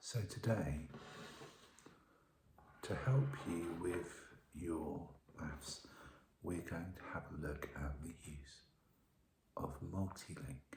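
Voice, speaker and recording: Whispering and soft-spoken, the voice moves at a very slow pace with long, frequent pauses. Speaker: ASMR roleplay teacher. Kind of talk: teacher roleplay ASMR, soft-spoken maths lesson. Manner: soft-spoken, whispered.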